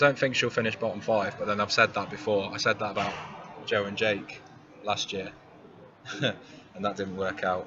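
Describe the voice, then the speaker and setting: An East Midlands accent at a moderate pace, with fairly even intonation, long, frequent pauses and noticeable background noise. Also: man, fairly low pitch for a man. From England, Derby (East Midlands). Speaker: Eurovision fan-site presenter. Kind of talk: live stream commentary. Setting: press center. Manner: monotone.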